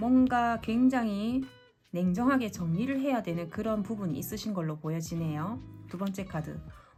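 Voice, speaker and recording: Over music in the background, a woman with a medium-pitched voice talks at a moderate pace in a calm tone with lively intonation. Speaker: tarot reader. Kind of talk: tarot reading talk to camera. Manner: calm, clear.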